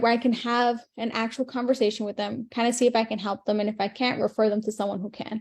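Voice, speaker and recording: Very fast and fairly high-pitched, a woman speaks in a dark, mellow tone. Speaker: online marketing coach. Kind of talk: live stream teaching. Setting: live video stream. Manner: animated.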